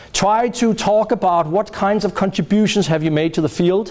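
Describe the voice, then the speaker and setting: Over noticeable background noise, the speech moves at a moderate pace with lively intonation. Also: man. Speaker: professor. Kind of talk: lecture. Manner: loud.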